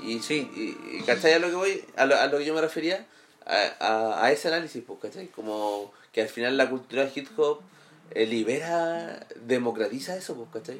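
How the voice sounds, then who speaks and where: Speaking in a Chilean accent at a moderate pace, a man with a fairly high voice uses lively intonation and big swings in loudness. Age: 20s. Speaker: graphic designer. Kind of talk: casual chat. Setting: at a home.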